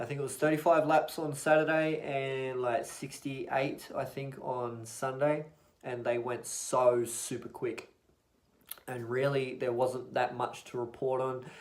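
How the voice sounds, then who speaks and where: With an audible room echo, a man at medium pitch speaks fairly slowly in a monotone, flat intonation. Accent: Australian. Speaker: motorsport YouTuber. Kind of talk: casual vlog recap. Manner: mumbling; loud.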